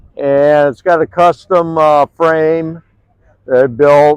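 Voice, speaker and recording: With an American accent, a man talks at a very slow pace in a fairly high pitch. The sound is dry and close, with no echo. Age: 70s. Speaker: car show exhibitor, hot rod builder. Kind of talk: casual interview. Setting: outdoors at car show. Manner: halting, many filler words.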